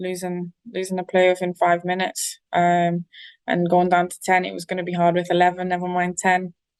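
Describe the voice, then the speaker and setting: At a moderate pace, a woman in a northeast English accent speaks at medium pitch with monotone, flat intonation. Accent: north-east English. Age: 20s. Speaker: professional footballer. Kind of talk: interview.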